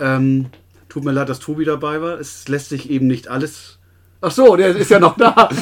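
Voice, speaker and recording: In a plain, everyday voice, a fairly high-pitched man speaks at a moderate pace with ordinary pitch variation and big swings in loudness. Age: middle-aged. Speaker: sports club podcast co-host. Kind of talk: casual chat. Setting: small room above the club office.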